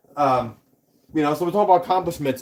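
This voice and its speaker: With a New York accent, a man speaks in a fairly high pitch with ordinary pitch variation. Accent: New York (Staten Island). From New York City, Staten Island. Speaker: model railroading YouTuber. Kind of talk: casual livestream chat. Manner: animated.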